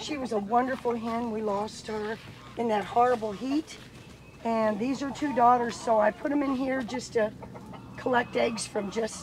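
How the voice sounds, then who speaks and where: Fairly even intonation and a moderate pace from a woman with a fairly high pitch. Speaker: vlogger raising backyard chickens. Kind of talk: casual, conversational. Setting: outdoors, farm yard.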